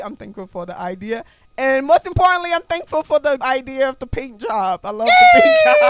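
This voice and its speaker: Speaking with a Liberian accent, a woman sounds animated, her high pitch moving in very wide swings. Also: big swings in loudness. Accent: Liberian accent comes out. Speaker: podcast host. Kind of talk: casual chat.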